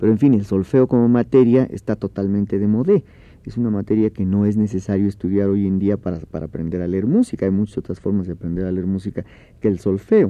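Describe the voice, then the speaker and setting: Speaking at a very fast pace, a man keeps his fairly low voice at fairly even intonation. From Oaxaca, Mexico. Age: 40s. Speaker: orchestra conductor and composer. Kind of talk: radio interview.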